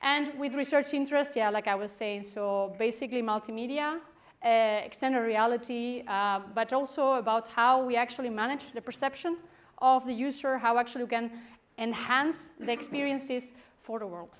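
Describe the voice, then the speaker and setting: Recorded very cleanly with a silent background, a woman speaks in a Spanish accent at a moderate pace. Her voice is high, with ordinary pitch variation. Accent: Spanish accent, stronger when nervous. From Spain. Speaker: professor. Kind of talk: conference talk. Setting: stage with audience.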